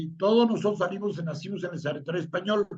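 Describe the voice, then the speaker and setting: This man speaks quickly, at a fairly quick pace, in a high pitch with ordinary pitch variation. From Mexico City. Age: 60s. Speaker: tech industry veteran. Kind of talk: interview. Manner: fast.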